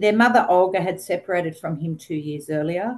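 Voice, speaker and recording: The speaker is a woman with an Australian accent. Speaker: social work researcher. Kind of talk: webinar presentation.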